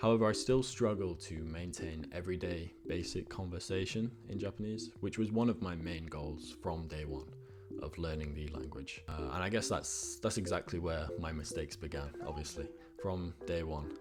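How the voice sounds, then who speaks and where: Speaking with a British accent, a man uses a very deep, low voice with vocal fry, a moderate pace and ordinary pitch variation. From UK. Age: 20s. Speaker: vlogger. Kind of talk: personal vlog monologue. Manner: frequent fillers (uh), repetitions.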